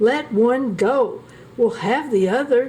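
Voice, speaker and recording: Over clear background noise, a woman uses a put-on character voice, pitched high and delivered at a fairly slow pace. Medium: read story. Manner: scolding.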